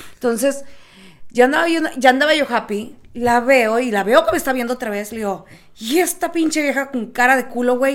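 A woman's high-pitched voice at a moderate pace. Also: ordinary pitch variation. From South Texas. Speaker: podcast co-host. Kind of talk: casual chat.

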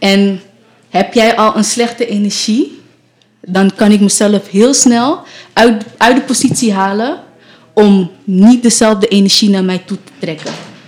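In an ordinary speaking voice, a woman talks at a fairly slow pace with fairly high pitch and ordinary pitch variation. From Amsterdam, Netherlands. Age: 20s. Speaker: nurse. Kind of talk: casual chat. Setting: radio studio.

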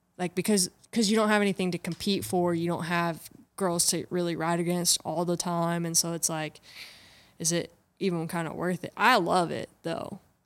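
A woman with an American accent has a plain, everyday voice, a fairly low pitch and fairly even intonation, and keeps a moderate pace. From North Carolina. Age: 20s. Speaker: bull rider. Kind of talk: casual chat.

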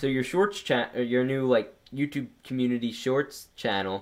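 Here is a man talking. His pitch sits in the medium range. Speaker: LEGO YouTuber podcast host. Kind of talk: casual chat. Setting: home basement. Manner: loud.

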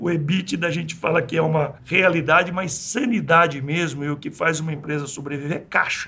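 Against noticeable background noise, a man with a fairly high pitch and ordinary pitch variation talks at a fairly quick pace with hardly any pauses. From Brazil, rural interior of São Paulo state. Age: 60s. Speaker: engineer and entrepreneur. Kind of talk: interview.

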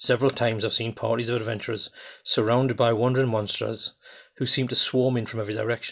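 A man with a Geordie accent speaks at a fairly quick pace in a medium pitch, with a quiet background. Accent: Geordie, coarse. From northeast England (Newcastle area). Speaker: podcast host, tabletop role-playing gamer. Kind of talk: solo podcast monologue. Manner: hesitant, many fillers.

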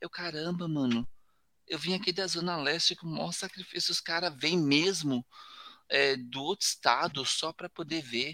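A man with a high pitch and a bright, sharp tone speaks in a dry, close sound with no echo. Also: ordinary pitch variation, moderate pace. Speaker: tokusatsu website host and cosplayer. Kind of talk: casual chat. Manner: animated.

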